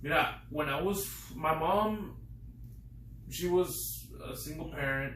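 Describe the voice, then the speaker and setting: There is audible room echo as a man speaks with an American accent. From Midland, West Texas. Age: 20s. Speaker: window tint business owner. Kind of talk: interview. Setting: office.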